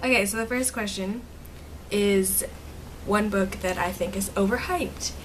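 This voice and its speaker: A woman of medium pitch talks at a moderate pace with fairly even intonation and long, frequent pauses, amid audible room echo and noticeable background noise. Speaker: booktuber. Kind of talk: casual vlog talk. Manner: chatty, filler-heavy.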